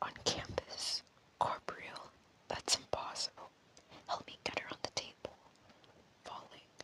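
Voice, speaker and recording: Whispering at a fairly slow pace, the speaker leaves long, frequent pauses over noticeable background noise. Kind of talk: audiobook reading of a novel, whispered ASMR. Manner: whispered.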